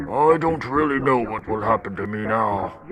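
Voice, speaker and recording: A man puts on a character voice and delivers his lines fairly slowly. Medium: game stream.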